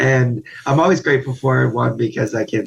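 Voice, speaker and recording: At a moderate pace, a man speaks at medium pitch in a somewhat breathy voice. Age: 30s. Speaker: guest, spinal cord injury survivor. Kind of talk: casual interview chat.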